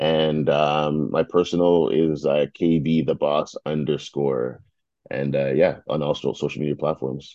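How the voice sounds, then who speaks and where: With a Toronto accent, a man speaks at a very deep, low pitch. His pace is fairly slow and his intonation fairly even. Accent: Canadian English, Toronto. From Toronto and Mississauga, Canada. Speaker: media founder and CEO. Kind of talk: casual interview.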